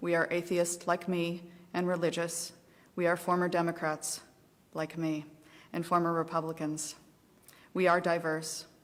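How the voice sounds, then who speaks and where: With long, frequent pauses, a woman speaks in an American accent at a fairly low pitch and with monotone, flat intonation. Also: moderate pace. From US Midwest, southeastern Ohio. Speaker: advocacy group volunteer. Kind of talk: testimony. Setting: legislative committee hearing.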